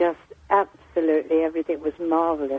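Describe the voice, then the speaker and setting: Her voice very deep and low, a woman speaks in a monotone, flat intonation. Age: 80s+. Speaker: caller. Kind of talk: phone-in anecdote.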